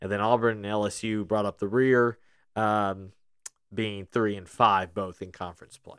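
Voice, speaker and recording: Moderately paced speech from a man, intonation fairly even. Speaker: podcast host. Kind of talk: casual chat. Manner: chatty, humorous.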